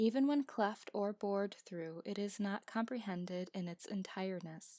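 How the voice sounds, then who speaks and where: Heard on a very clean recording with a silent background and a dry, close sound with no echo, a plain, everyday voice moves at a moderate pace with ordinary pitch variation. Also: woman. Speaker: amateur audiobook narrator. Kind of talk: audiobook reading.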